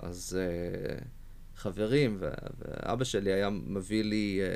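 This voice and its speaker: A man is heard in a very clean recording, the background silent. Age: 20s. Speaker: poet and software engineer. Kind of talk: interview conversation. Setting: studio. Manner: hesitant, many fillers.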